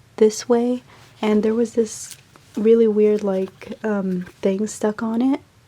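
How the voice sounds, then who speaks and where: Against noticeable background noise, a woman speaks very slowly in a fairly high, monotone, flat voice. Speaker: artist. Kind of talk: casual talk to camera. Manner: casual, hesitant with fillers.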